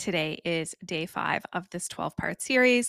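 The recording is very clean, with a silent background and a dry, close sound with no echo. A woman speaks at medium pitch in an East Coast accent. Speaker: podcast host and mindset coach. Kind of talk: casual solo podcast talk. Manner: animated.

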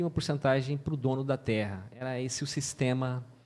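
On a very clean recording with a silent background, a man with a normal speaking voice talks at a moderate pace, his medium pitch held in fairly even intonation. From Mato Grosso do Sul, Brazil (Paraguay border). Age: 40s. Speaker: pastor. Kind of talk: testimony.

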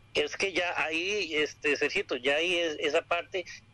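A man speaks in a plain, everyday voice. His pace is fairly slow and his intonation fairly even. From Costa Rica. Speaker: manga and anime enthusiast. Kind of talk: informative talk.

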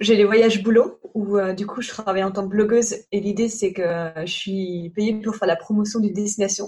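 Here is a woman with an unremarkable speaking voice at a medium pitch. She talks at a moderate pace with fairly even intonation. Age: 30s. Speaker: travel blogger and entrepreneur. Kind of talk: casual interview.

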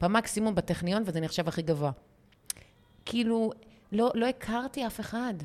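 Speaking at a moderate pace, a woman with a fairly high pitch uses lively intonation and takes long, frequent pauses. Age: 40s. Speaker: podcast host, women's mindset coach. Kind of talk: casual chat.

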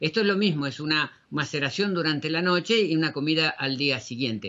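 Lively intonation carries the fairly quick delivery. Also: man. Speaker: radio host, natural health educator. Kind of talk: radio show presentation. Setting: studio. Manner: halting with fillers.

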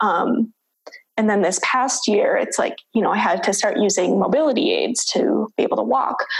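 The voice holds a very even loudness and moves at a moderate pace. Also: woman. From US Midwest, Minnesota. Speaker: PhD student and researcher. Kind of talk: interview conversation.

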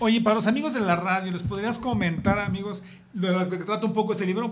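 A man's high pitch at a fairly quick pace, with fairly even intonation and audible room echo. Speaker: chef and guest co-host. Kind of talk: casual chat.

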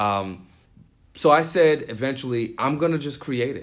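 With lively intonation and a moderate pace, a man speaks in an unremarkable speaking voice. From New York City (the Bronx). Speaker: youth nonprofit founder and DJ. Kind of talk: interview.

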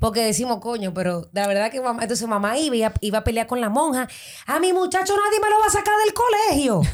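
Against noticeable background noise, a woman talks at a very fast pace in an animated tone, her high pitch swinging very widely. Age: 30s. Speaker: model. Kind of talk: interview.

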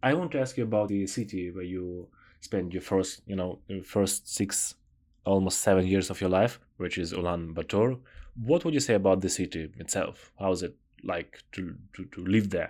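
The speaker has an Eastern European accent, a moderate pace and ordinary pitch variation. The recording is very clean, with a silent background. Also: man, very deep, low pitch for a man. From southern Ukraine, Odessa. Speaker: podcast host. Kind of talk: interview podcast.

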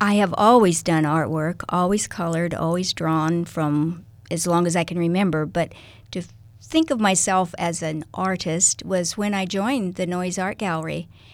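Recorded very cleanly against a silent background, a woman with a Midwestern American accent and fairly low pitch talks at a moderate pace with fairly even intonation. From US Midwest, Kansas-Nebraska border. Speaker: artist. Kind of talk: interview. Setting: radio studio.

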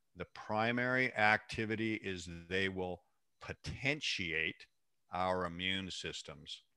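A man with an American accent speaks in a bright, sharp tone with lively intonation, on a very clean recording with a silent background. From US Pacific Northwest, Seattle. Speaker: mycologist and mushroom supplier. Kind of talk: interview.

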